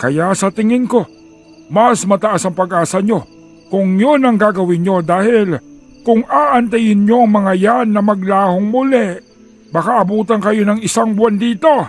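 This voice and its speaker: A man puts on a character voice, pitched high and speaking at a fairly slow pace over faint background music. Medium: audio drama. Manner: measured, old-fashioned speech.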